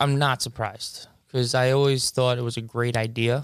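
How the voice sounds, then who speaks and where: Speaking with a Long Island accent, a man holds a medium pitch at a moderate pace. The recording is very clean, the background silent. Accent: New York (Long Island). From Long Island, New York. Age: 20s. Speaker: basketball referee and coach. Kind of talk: casual interview.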